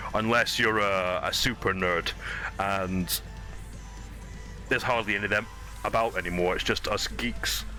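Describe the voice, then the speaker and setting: Noticeable background noise accompanies a man who keeps to a moderate pace. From Scotland, west of Clydebank. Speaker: gaming streamer. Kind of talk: casual live-stream chat while gaming. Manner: casual, hesitant with fillers.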